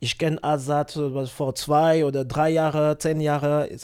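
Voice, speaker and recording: A man with a non-native accent speaks very slowly at a fairly high pitch, his intonation flat and monotone, on a very clean recording with a silent background. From Africa. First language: not German (speaking German). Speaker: musician. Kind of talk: casual interview chat. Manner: halting.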